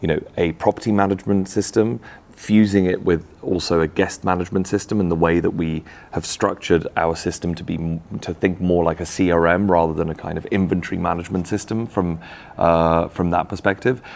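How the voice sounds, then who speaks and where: A man's very deep, low voice, fairly quick, with a strong English accent and fairly even intonation. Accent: thick English. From Czech Republic. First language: Czech. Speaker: tech company founder. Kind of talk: interview. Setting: in person at a conference.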